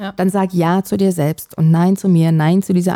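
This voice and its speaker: In a dry, close recording with no echo, a woman speaks at a fairly low pitch with monotone, flat intonation. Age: 40s. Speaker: podcast co-host. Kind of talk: casual chat.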